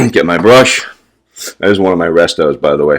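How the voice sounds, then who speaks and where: A man's very deep, low voice with lively intonation. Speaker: wet shaving youtuber. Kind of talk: tutorial. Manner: casual.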